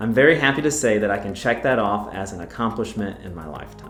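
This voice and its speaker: Music plays in the background as a man talks. He has an American accent and a very fast pace. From North Carolina. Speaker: real estate agent. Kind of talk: casual talk to camera.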